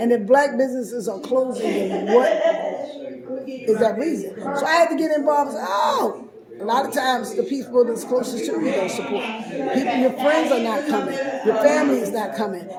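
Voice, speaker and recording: An animated tone with ordinary pitch variation at a fairly quick pace, amid crowd noise and audible room echo. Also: woman, high pitch for a woman. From Baltimore, Maryland, US. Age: 60s. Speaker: business owner and radio show host. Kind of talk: casual interview.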